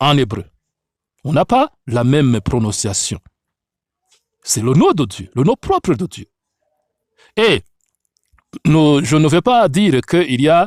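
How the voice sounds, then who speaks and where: The speech moves at a fairly slow pace in a very clean recording with a silent background. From Africa. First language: an African language, French learned later (speaking French). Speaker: Bible teacher. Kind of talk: religious teaching.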